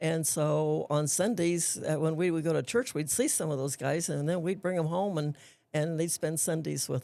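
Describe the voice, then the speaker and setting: Her voice sits very deep and low for a woman, with a dark, mellow tone, ordinary pitch variation and a moderate pace. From US West, Antelope Valley, southern California. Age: 80s+. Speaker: retired school principal. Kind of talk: casual interview. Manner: halting.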